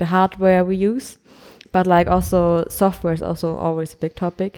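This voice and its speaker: A woman's dark, mellow, fairly low voice with a German accent and monotone, flat intonation, in a very clean recording with a silent background. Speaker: podcast co-host, student. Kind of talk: casual chat. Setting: recording at a conference in Prague.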